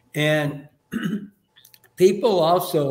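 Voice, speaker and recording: A man talks with fairly even intonation, and audible echo fills the room. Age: 70s. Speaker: caterer and business owner. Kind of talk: podcast interview.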